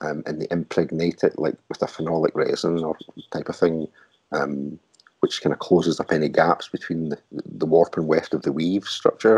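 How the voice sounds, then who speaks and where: A man with a Glaswegian accent at a moderate pace, dry and close with no echo. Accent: Glaswegian Scottish. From Glasgow, Scotland. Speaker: artist and technical wear designer. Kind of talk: interview answer.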